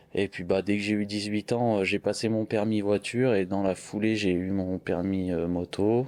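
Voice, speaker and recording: A man talks at a moderate pace in a fairly low pitch. His tone is dark and mellow, his intonation monotone and flat. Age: 30s. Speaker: car body painter and motorcycle builder. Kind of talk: interview. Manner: hesitant, casual.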